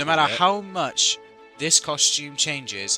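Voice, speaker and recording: With a British accent, a man talks at a moderate pace with lively intonation while music plays in the background. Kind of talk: unscripted commentary video. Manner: hesitant, stuttering at times.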